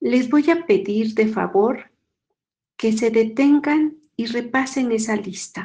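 A woman with a fairly high pitch and a dark, mellow tone speaks at a very slow pace with ordinary pitch variation. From Mexico. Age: 50s. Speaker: nun giving a faith formation talk. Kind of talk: spiritual formation talk.

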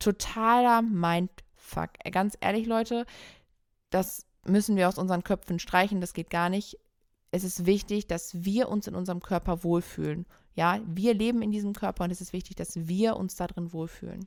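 A woman at medium pitch with an unremarkable speaking voice, moderate pace and fairly even intonation, on a very clean recording with a silent background. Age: 30s. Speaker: photographer and podcast co-host. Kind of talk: solo podcast monologue, personal story. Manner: casual with frequent fillers.

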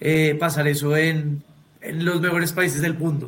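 Here is a man with a fairly high pitch and a normal speaking voice. His pace is moderate. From Colombia. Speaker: podcast host. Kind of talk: casual chat.

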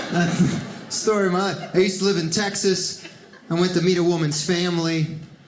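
Over noticeable background noise, a man with an American accent and a high pitch talks at a fairly quick pace in a monotone, flat intonation. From Miami, Florida (Cuban-born). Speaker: comedian. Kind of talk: stand-up. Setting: stage with audience.

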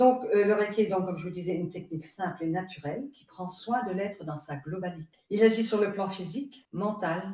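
A woman speaks at a moderate pace with a medium pitch and lively intonation. Her voice is somewhat breathy, and its loudness swings widely. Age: 70s. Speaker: reiki master, retired nurse. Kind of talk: interview testimony.

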